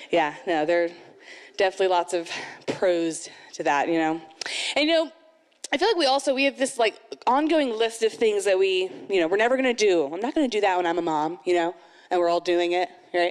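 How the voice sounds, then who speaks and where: A woman speaks at a fairly quick pace with an animated tone and lively intonation. She takes long, frequent pauses. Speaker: amateur stand-up comedian. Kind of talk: first-time stand-up comedy set at a moms' night event. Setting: stage with live audience. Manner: animated, acting out mom-life scenes with sighs and self-mocking asides; chatty and rambling, heavy with 'you know' and 'like' fillers. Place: stage. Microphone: handheld.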